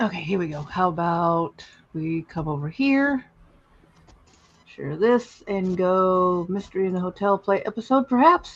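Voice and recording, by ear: A man with a high pitch talks at a fairly slow pace, his intonation lively.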